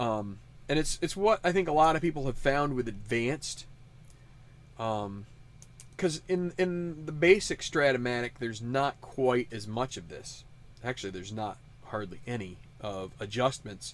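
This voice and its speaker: Using an American accent, a man speaks at a moderate pace and medium pitch with lively intonation. His loudness swings widely, and he takes long, frequent pauses. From Western New York. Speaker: tabletop sports sim host. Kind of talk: casual commentary. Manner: halting, many fillers.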